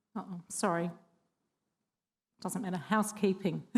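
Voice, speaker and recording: A woman talks in an Australian accent. Her pitch variation is ordinary. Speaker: government training consultant. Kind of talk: forum presentation. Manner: hesitant, many ums.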